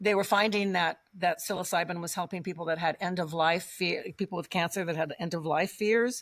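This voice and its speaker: A woman speaks in a normal speaking voice with an American accent at a medium pitch. The recording is very clean, with a silent background. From Colorado. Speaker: guest on interview podcast. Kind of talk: casual interview conversation.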